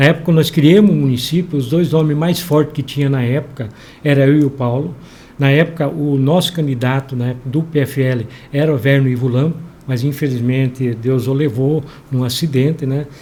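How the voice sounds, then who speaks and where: At a moderate pace, a man with a fairly high pitch speaks in a dark, mellow, somewhat breathy tone with fairly even intonation. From southern Brazil (western Paraná). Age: 60s. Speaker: local politician, mayoral pre-candidate. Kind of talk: interview. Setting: studio.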